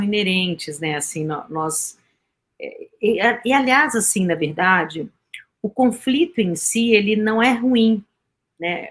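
A somewhat breathy woman at a very slow pace, fairly high in pitch, with lively intonation. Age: 50s. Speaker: communication and peace speaker. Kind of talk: radio interview.

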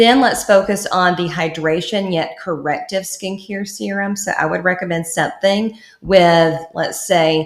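Over noticeable background noise, a woman with a fairly low pitch and ordinary pitch variation talks at a moderate pace with hardly any pauses. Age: 30s. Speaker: esthetician and skincare entrepreneur. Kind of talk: casual chat.

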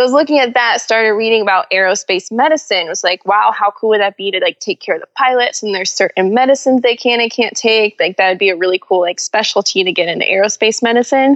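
Speaking with an American accent, a woman talks very fast, with hardly any pauses, at a fairly high pitch. The sound is dry and close, with no echo. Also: ordinary pitch variation. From Orlando, Florida, US. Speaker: aviation sales director and demo pilot. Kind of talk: casual interview chat.

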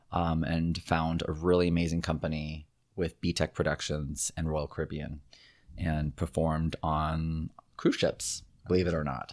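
A man's very deep, low voice at a moderate pace, monotone and flat, in a very clean recording with a silent background. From Southern California. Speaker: actor and figure skater. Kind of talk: interview conversation.

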